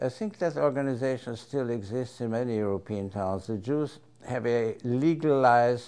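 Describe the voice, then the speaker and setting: At a fairly slow pace, a man speaks in a dark, mellow tone at medium pitch with ordinary pitch variation. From Austria, Vienna. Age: 80s+. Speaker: interviewee recounting family history. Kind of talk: oral history interview. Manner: halting.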